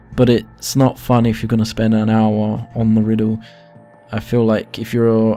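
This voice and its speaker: Music plays behind a man who speaks quietly at a moderate pace and a medium pitch. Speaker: gaming youtuber. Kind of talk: game tutorial. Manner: quiet, low volume.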